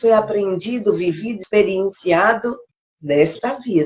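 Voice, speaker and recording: This woman has a plain, everyday voice at a medium pitch. She keeps a moderate pace with ordinary pitch variation. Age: 60s. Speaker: live show co-host. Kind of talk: live stream talk.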